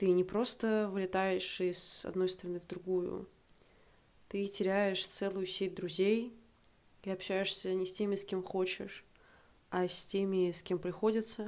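Long, frequent pauses break up a woman's fairly slow speech at medium pitch. Her intonation is monotone and flat. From Russia, Saint Petersburg. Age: 20s. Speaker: podcast guest sharing personal story. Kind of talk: personal story monologue.

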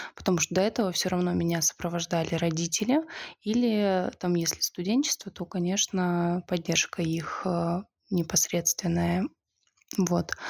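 A woman with a fairly low voice talks at a moderate pace, her intonation fairly even. Long pauses come often, and the sound is dry and close with no echo. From Siberia (Zabaykalsky Krai village). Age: 20s. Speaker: podcast guest. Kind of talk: casual chat.

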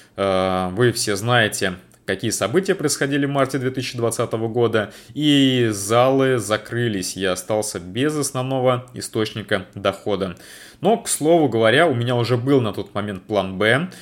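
A man with an unremarkable speaking voice talks fairly slowly at a medium pitch with ordinary pitch variation, in a very clean recording with a silent background. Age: 30s. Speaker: podcaster and freelancer. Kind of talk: monologue.

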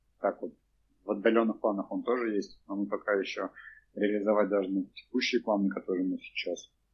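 This man talks at an average tempo in a rather deep voice. His intonation stays monotone and flat. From Russia, Cheboksary (Chuvashia). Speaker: theatre director and co-founder. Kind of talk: casual interview. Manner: hesitant, many fillers.

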